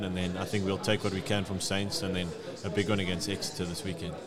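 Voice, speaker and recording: Noticeable background noise and audible room echo surround a man with a fairly low pitch. He speaks at a very fast pace with fairly even intonation. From South Africa. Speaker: professional rugby player. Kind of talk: casual interview.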